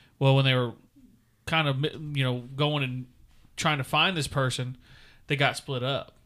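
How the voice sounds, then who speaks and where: On a very clean recording with a silent background, a man with a medium pitch and a bright, sharp tone speaks at a moderate pace in monotone, flat intonation with long, frequent pauses. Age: 20s. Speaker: podcast co-host. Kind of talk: casual chat.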